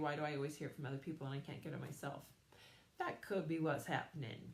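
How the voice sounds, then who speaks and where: A woman's very deep, low voice at a very fast pace, monotone and flat, with audible room echo. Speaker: psychic medium and energy healer. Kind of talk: live stream talk to viewers.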